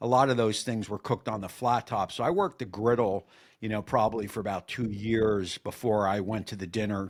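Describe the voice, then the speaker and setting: Captured in a very clean recording with a silent background, the speaker talks at a fairly quick pace with fairly even intonation. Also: man, fairly low pitch for a man. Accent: New Jersey. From New Jersey (Woodbridge area). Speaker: cooking YouTuber, former line cook. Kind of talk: casual interview chat.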